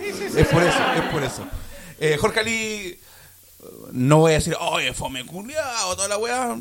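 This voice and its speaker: Against noticeable background noise, a man with a high voice and a Chilean accent swings his pitch very widely. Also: moderate pace. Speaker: podcast co-host. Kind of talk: casual chat.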